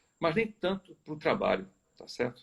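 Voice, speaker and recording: Very wide pitch swings in a man's fairly high voice, kept at a moderate pace. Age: 60s. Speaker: chemical company executive. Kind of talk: live video interview. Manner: hesitant, frequent filler tá certo.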